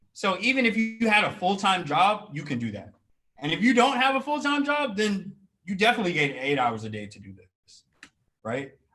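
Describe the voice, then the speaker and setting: Against music in the background, a man raises and projects his high-pitched voice, with very wide pitch swings and big shifts in loudness. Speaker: career coach. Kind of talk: webinar workshop. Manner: fast.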